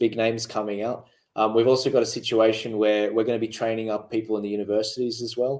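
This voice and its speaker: At a very fast pace, a man with an Australian accent speaks in a medium-pitched, monotone, flat voice on a very clean recording with a silent background. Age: 20s. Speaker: political activist. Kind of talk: panel discussion. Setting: studio. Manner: halting.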